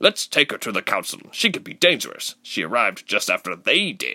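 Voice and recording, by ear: A man's put-on character voice, fairly low in pitch, bright and sharp in tone, with big pitch swings at a moderate pace.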